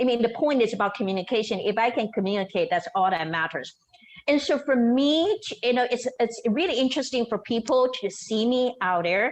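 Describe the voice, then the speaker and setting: Fairly high-pitched speech from a woman with a slight non-native accent, lively intonation and a fairly quick pace. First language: not English. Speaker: storyteller and show host. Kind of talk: podcast interview.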